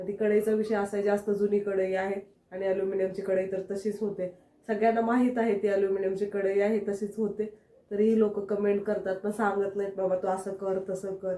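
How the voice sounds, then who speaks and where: The tone is dark and mellow from a woman at medium pitch. Her intonation is monotone and flat. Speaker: family vlogger. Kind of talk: casual vlog with cooking.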